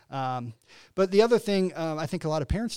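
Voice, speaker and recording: In a very clean recording with a silent background, a man with a Midwestern American accent speaks with very wide pitch swings. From northern Illinois (LaSalle-Peru). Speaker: nonprofit CEO. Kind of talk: interview.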